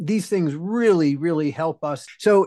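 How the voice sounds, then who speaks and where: Intonation rises and falls in a lively way as a man talks very slowly. Nothing can be heard behind him, and the recording is very clean. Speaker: podcast host. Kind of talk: casual interview chat.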